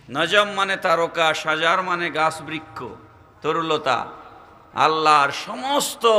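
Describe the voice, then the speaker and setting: A man speaks at a fairly high pitch with ordinary pitch variation. Noticeable background noise and audible room echo surround him. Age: 40s. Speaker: Islamic preacher. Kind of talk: sermon. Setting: outdoor religious gathering over PA system. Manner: loud.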